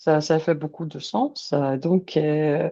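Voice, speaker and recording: Very deep and low in pitch, a woman speaks at a very slow pace. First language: not French or English (speaking French). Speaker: language learner, immigration candidate. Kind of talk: interview testimony. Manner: halting, many hesitations.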